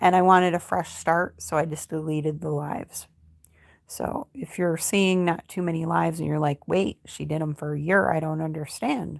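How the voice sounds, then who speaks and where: In a very clean recording with a silent background, a woman with an American accent speaks at a moderate pace in a very deep, low pitch with fairly even intonation. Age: 50s. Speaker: crochet YouTuber. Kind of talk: casual livestream chat. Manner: casual, with frequent filler ums.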